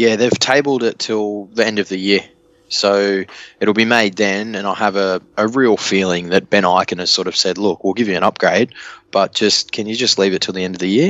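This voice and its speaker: Fairly low male voice with an Australian accent, fairly even intonation, moderate pace. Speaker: rugby league podcast panelist. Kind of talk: casual chat.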